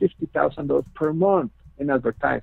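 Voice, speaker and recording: A man with a non-native accent speaks at a fairly quick pace, his pitch varying in an ordinary way. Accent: noticeable foreign. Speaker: network marketing team leader. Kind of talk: webinar presentation. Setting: webinar with phone line. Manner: hesitant, many fillers.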